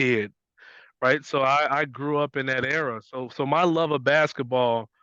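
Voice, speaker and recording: Speaking very slowly, a man with an American accent keeps to a medium pitch. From US Midwest, west side of Chicago. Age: 40s. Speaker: basketball coach. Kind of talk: interview conversation.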